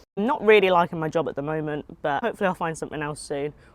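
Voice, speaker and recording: A woman speaks with a southern English accent. Her intonation is lively. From southern England (Hampshire). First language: Japanese. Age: 20s. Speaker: food content creator. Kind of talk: casual vlog chat while eating. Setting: outdoors.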